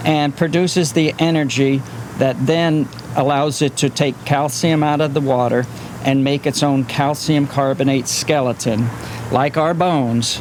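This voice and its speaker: Over noticeable background noise, a man with a fairly high pitch talks at a fairly slow pace. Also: fairly even intonation, very even loudness. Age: 60s. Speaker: marine biologist. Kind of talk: on-location interview, explaining.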